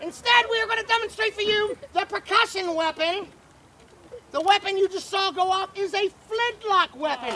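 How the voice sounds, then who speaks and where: An extremely high-pitched, put-on character voice. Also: moderate pace. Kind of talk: fairground showman, pirate barker. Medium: stage play. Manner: loud, commanding.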